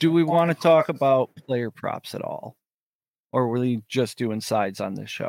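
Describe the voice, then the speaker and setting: A man with an ordinary speaking voice, a medium pitch, ordinary pitch variation, and a moderate pace, in a dry, close sound with no echo. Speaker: sports podcast co-host. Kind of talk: casual sports chat. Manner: excitable, laughs often.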